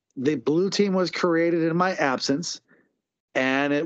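This man's voice sits fairly high, with ordinary pitch variation, and he speaks at a fairly slow pace. The background is quiet. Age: 30s. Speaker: lingerie fighting team coach. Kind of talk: casual chat.

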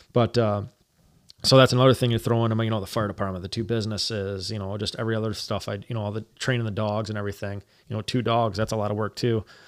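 Speech rushes by at a very fast pace with monotone, flat intonation. The recording is very clean, with a silent background. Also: man, fairly low pitch for a man. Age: 30s. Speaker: hunter, outdoor apparel business owner and firefighter. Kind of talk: casual chat.

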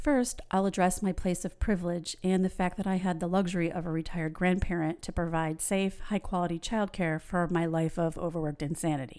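In a normal speaking voice with an American accent, a woman with a fairly low pitch talks at a fairly quick pace with hardly any pauses and fairly even intonation, on a very clean recording with a silent background. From New York. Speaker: podcast host and realtor. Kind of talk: scripted monologue.

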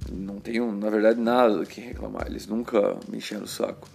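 Against noticeable background noise, a man with a fairly low pitch speaks with a Brazilian accent. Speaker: podcaster. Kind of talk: casual chat. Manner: informal, filler-heavy.

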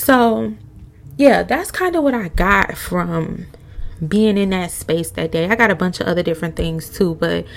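Over noticeable background noise, a woman talks fairly slowly at a fairly low pitch. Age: 20s. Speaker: podcast host. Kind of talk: casual chat.

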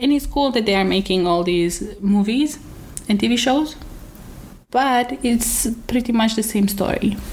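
A woman speaks at a fairly slow pace with long, frequent pauses, her loudness very even. Her fairly high voice is somewhat breathy, with ordinary pitch variation. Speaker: podcast host. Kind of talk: casual chat.

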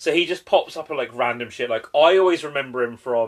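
A man speaks in a British accent with ordinary pitch variation. The background is quiet. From UK. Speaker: podcast host. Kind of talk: casual chat.

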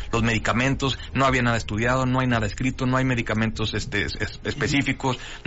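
This man talks very fast in a medium pitch. His intonation is flat and monotone. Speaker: urologist surgeon. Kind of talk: radio interview. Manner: halting.

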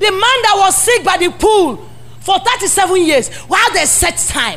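A woman with a Nigerian accent, extremely high in pitch, animated in tone and lively in intonation, at a fairly slow pace over music in the background. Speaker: pastor. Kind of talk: sermon. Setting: church. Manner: animated, exhorting call-and-response preaching.

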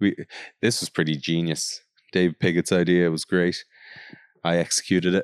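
Very deep and low in pitch, a man speaks in a monotone, flat way with long, frequent pauses and a dry, close sound with no echo. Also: moderate pace. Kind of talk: casual chat. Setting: studio.

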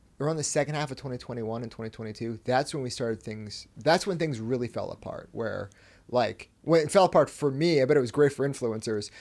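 A man's medium-pitched voice with a West Coast US accent, very fast, with big swings in loudness. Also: ordinary pitch variation. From US Pacific Northwest, Washington state. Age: 20s. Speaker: company CEO. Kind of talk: casual interview chat.

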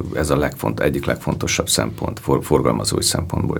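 A man's voice over noticeable background noise. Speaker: film festival director, producer. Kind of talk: interview conversation.

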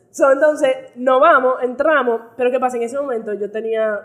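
A woman's high voice carries ordinary pitch variation as she talks at a moderate speed. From United States. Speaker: podcast host. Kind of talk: casual chat.

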